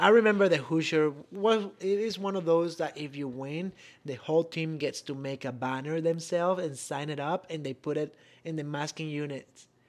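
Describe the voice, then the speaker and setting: This man's pitch is fairly high. His pitch variation is ordinary. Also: moderate pace. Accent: Venezuelan. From Venezuela. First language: Spanish. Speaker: podcast co-host, former college bowler. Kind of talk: casual chat.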